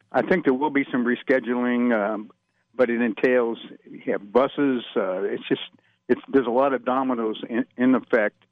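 Moderate pacing from a man with an ordinary speaking voice. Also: medium pitch for a man, fairly even intonation. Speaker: sports officials executive. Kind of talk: radio interview.

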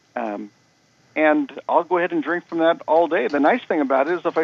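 An unremarkable speaking voice from a man, pitched fairly high and moving fairly quickly. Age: 60s. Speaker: supplement company representative. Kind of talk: radio interview.

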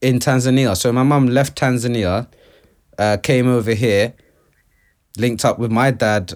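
A man in a London accent speaks at a medium pitch, with long, frequent pauses. The recording is very clean, the background silent. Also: moderate pace. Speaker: artist. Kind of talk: casual chat.

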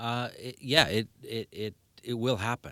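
A man with a Canadian Prairie accent in a very clean recording with a silent background. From Winnipeg, Manitoba, Canada. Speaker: seismic home retrofit business owner. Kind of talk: radio interview. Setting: radio studio.

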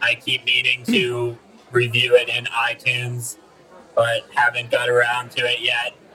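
A man's put-on character voice at a moderate pace. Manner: flat, robotic, polite, says bro.

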